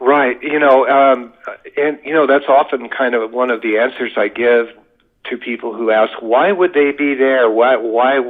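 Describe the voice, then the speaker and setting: A man with an ordinary speaking voice and an American accent, at a moderate pace. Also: medium pitch for a man. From US West, Las Vegas, Nevada. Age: 60s. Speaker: UFO witness. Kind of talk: podcast interview.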